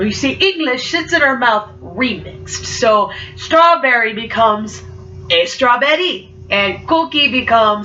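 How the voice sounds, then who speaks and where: Amid noticeable background noise and audible room echo, a woman with a fairly high pitch makes very wide pitch swings. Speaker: student speaker. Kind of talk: spoken word poetry. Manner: halting repetitions; rhythmic, dramatic.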